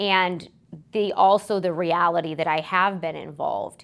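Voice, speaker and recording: In a fairly low pitch, a woman talks with monotone, flat intonation. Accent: Alaskan. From Alaska, Anchorage. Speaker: political candidate. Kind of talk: interview.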